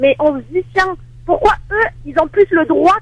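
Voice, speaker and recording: Ordinary pitch variation at a moderate pace. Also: woman. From Marseille, southern France. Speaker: caller. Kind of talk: call-in comment.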